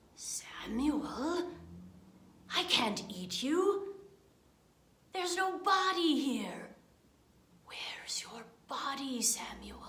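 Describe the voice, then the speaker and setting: A woman uses a put-on character voice pitched high. She goes very slowly, with long, frequent pauses. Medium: read story. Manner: slow, drawn-out, repeats name.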